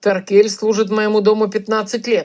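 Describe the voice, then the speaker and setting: This is a put-on character voice with a raspy sound. The intonation stays monotone and flat. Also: woman. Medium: read story. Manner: terse, curt.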